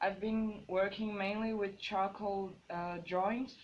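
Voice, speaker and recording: A woman talks very slowly at a medium pitch. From Brazil. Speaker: visual artist. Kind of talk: artist talk presentation. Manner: hesitant, many fillers.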